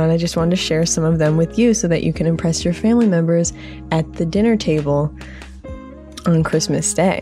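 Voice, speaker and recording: Music in the background behind a woman talking at a fairly quick clip. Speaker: podcast host. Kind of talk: casual podcast talk.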